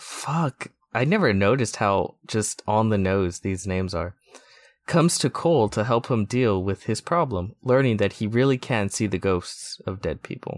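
An ordinary speaking voice: a man, fairly low-pitched, with lively intonation at a moderate pace, dry and close with no echo, on a very clean recording with a silent background. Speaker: podcast showrunner. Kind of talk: casual chat.

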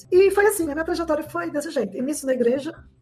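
A woman talks with ordinary pitch variation. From Lavras, southern Minas Gerais, Brazil. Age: 50s. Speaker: city councillor and teacher. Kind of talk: interview.

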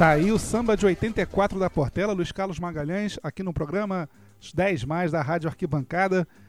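A man's high-pitched voice with ordinary pitch variation, on a very clean recording with a silent background. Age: 30s. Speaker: radio host. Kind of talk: radio show hosting.

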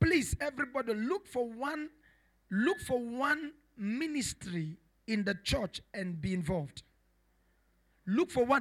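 A man speaks at a fairly slow pace with long, frequent pauses and an animated tone. His pitch is extremely high and swings very widely. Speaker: preacher. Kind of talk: sermon. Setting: church. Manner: animated, repetitive, exhortative pulpit delivery.

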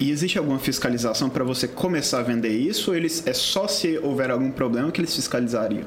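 A man talks very fast at a medium pitch, with lively intonation, very even loudness and hardly any pauses. The recording has audible room echo and noticeable background noise. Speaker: podcast co-host. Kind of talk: casual interview.

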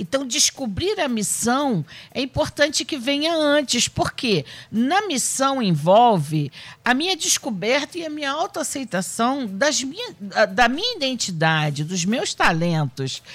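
Her pitch is high and swings very widely. The woman speaks at a fairly slow pace. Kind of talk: panel discussion on faith. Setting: radio studio with cameras.

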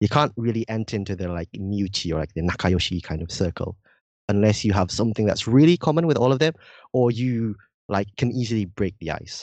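Fairly low in pitch, a man with a slight British accent talks at a fairly quick pace with lively intonation. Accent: slightly British-sounding English. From Indonesia, partly raised in Britain. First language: Indonesian. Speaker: university student and language learner. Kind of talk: casual podcast interview.

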